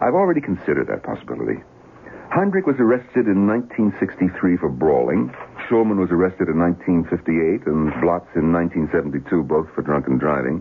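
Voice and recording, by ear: A man puts on a character voice with vocal fry, low pitch, big pitch swings and a fairly quick pace.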